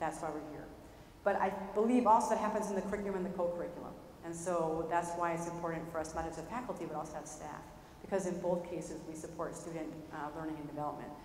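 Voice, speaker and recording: A woman at a fairly low pitch, in a New York accent, very fast and with fairly even intonation, amid noticeable background noise and audible room echo. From Brooklyn, New York. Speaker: professor and researcher. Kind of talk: lecture. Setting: lecture hall with audience.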